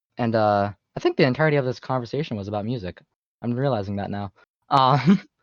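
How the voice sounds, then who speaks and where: Very fast speech with ordinary pitch variation, in a dry, close sound with no echo. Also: man, medium pitch for a man. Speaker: podcast guest, aspiring computer science engineer. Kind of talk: casual chat. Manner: halting.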